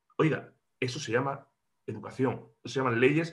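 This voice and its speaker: A man talks at a fairly quick pace, somewhat breathy. His pitch varies in an ordinary way. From Andalusia, Córdoba. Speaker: regional parliament politician. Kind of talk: interview.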